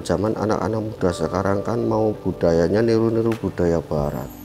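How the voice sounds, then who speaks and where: The speaker goes at a moderate pace with lively intonation. Background noise is noticeable. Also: man, hardly any pauses. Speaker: village head. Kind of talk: podcast interview.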